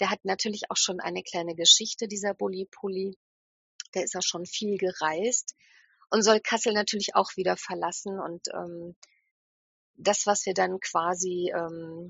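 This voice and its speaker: A woman speaks at a fairly slow pace in a medium pitch, keeping her intonation fairly even. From northern Hesse, Germany. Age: 50s. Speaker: hand-dyer, festival organizer. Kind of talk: casual interview.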